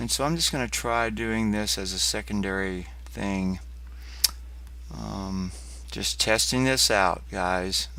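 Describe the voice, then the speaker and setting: Speaking at a very slow pace with long, frequent pauses, a man with a very deep, low pitch makes very wide pitch swings amid audible room echo. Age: 60s. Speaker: poet. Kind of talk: casual chat. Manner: halting.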